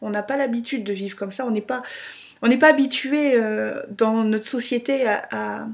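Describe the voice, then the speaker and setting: An ordinary speaking voice from a woman, fairly high in pitch, at a moderate pace with fairly even intonation. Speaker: vlogger. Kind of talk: casual video blog.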